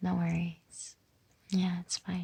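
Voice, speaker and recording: A soft-spoken woman with a dark, mellow, soothing tone, somewhat breathy and fairly low in pitch, at a very slow pace. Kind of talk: comforting roleplay talk to listener. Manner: soft-spoken, soothing.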